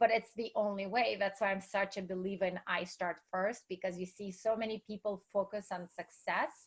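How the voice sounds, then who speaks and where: A woman's voice at medium pitch, delivered at a moderate pace. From Russia. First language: Russian. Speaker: entrepreneur and speaker. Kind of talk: interview.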